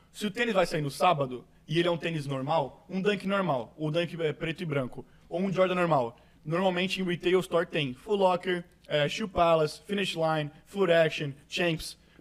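With clear background noise around him, a man speaks at moderate speed, his voice high and varying in pitch in an ordinary way. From Brazil, Santos (São Paulo coast). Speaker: podcast host. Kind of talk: casual chat.

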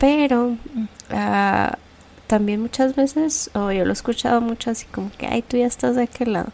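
Fairly high in pitch, a woman uses a plain, everyday voice with ordinary pitch variation. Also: moderate pace. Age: 30s. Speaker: podcast host, architect. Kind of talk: casual chat.

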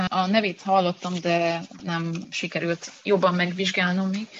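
A woman talks. Noticeable background noise runs behind her. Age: young. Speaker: university lecturer and researcher. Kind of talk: interview.

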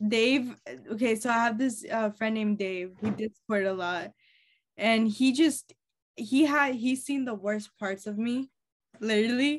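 Her voice is fairly high for a woman and somewhat breathy. She speaks at a fairly slow pace with ordinary pitch variation. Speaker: podcast host. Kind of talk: casual chat. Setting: video call.

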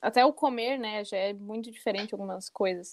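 Against a quiet background, a woman with a fairly high pitch and a plain, everyday voice comes through dry and close, with no echo. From southern Brazil, Rio Grande do Sul. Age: 20s. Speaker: journalism student. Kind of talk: casual chat.

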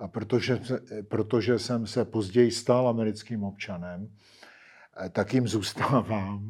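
Speech moves at a fairly slow pace. The intonation stays fairly even. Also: man, fairly low pitch for a man. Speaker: history professor. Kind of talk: interview. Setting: studio in Prague. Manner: halting, with fillers.

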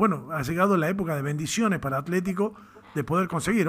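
Here is a man with a normal speaking voice and a fairly high pitch. He talks at a fairly quick pace with ordinary pitch variation. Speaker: radio sports host. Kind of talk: radio interview.

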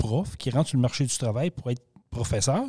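Captured dry and close with no echo against a silent background in a very clean recording, a man's dark, mellow voice of medium pitch moves with lively intonation. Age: 50s. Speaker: podcast host. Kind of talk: casual chat.

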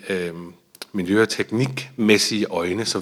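A fairly low-pitched man at a fairly slow pace with ordinary pitch variation. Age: 30s. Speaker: brewery founder and CEO. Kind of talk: interview. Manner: hesitant, many fillers and repetitions.

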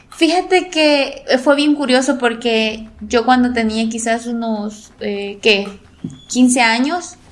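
At a very slow pace, a woman speaks in a high pitch. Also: ordinary pitch variation. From El Salvador, La Paz coast. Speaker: sports journalist. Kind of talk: interview.

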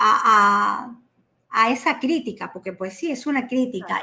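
This woman has an ordinary speaking voice, fairly high in pitch with ordinary pitch variation, and she speaks at a fairly slow pace. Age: 50s. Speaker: entrepreneur. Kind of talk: casual chat.

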